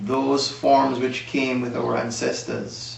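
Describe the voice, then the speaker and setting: A man speaks with monotone, flat intonation. Noticeable background noise and audible room echo surround his voice. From Jamaica, Manchester parish (Mandeville). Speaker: music historian guest. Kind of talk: interview.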